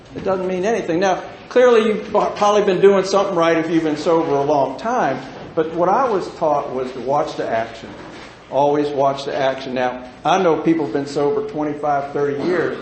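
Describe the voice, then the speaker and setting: Through audible room echo and noticeable background noise, a man speaks fairly quickly at a fairly high pitch. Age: 60s. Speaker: recovering alcoholic speaker. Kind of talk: recovery meeting talk. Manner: animated.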